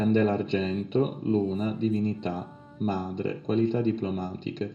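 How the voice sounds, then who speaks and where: A fairly low-pitched man at a fairly slow pace, fairly even in intonation, with music in the background. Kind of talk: esoteric instructional narration.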